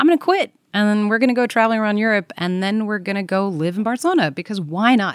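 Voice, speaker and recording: Speaking very fast with hardly any pauses, a woman with an American accent uses a medium pitch and lively intonation in a very clean recording with a silent background. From Belgium. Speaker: travel expert. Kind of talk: casual chat.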